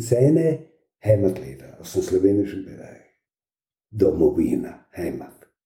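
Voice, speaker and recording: A man speaks at a moderate pace with vocal fry. His tone is dark and mellow. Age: 70s. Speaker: occupational therapist. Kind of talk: interview.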